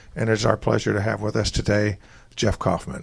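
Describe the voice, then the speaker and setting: A man talks with a slight Southern US accent. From US South. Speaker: radio host. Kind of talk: live interview show. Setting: record store, live audience.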